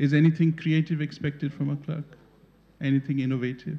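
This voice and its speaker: Fairly even intonation in a somewhat breathy male voice with a dark, mellow tone. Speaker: conference panelist. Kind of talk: talk to an audience. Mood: amused, engaged. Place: hall. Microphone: podium.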